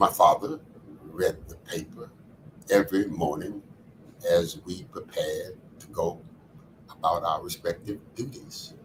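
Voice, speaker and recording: Over noticeable background noise, a man talks at a fairly slow pace with long, frequent pauses and big swings in loudness. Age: 80s+. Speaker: community leader and author. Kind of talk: podcast interview, personal reflection.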